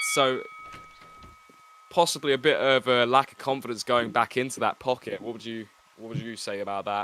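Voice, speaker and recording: Through noticeable background noise, a man of medium pitch talks at a moderate pace with ordinary pitch variation. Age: 20s. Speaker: boxing commentator. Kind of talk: live commentary.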